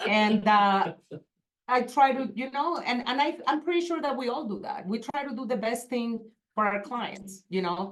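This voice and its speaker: A woman's high voice at a moderate pace with lively intonation. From Venezuela. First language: Spanish. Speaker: real estate agent. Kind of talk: panel discussion.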